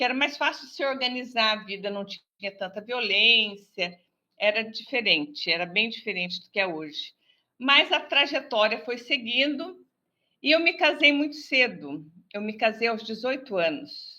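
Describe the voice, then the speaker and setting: Recorded very cleanly against a silent background, a woman speaks slowly-ish in a high, bright, sharp voice with very wide pitch swings. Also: big swings in loudness. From Brazil, interior of São Paulo state (Pindamonhangaba). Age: 60s. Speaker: business advisor and TV presenter. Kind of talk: interview.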